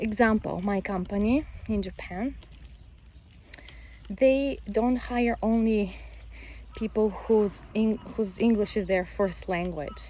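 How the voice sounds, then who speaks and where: A woman with a Bulgarian accent at a very slow pace, with long, frequent pauses. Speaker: vlogger, mother and English teacher. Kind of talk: casual vlog monologue. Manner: halting, with frequent self-corrections.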